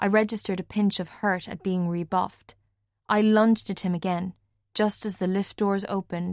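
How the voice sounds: Against a quiet background, a natural reading voice keeps a fairly even intonation.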